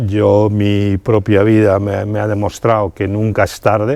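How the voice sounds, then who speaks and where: A fairly low-pitched male voice at a fairly slow pace. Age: 60s. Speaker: amateur rally driver. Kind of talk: interview. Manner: halting, many fillers and repetitions.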